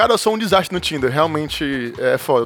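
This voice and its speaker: Amid noticeable background noise, a man talks at a very fast pace in a high-pitched voice, animated in tone, with lively intonation. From Brazil, Ceará. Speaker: podcast co-host. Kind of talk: casual chat.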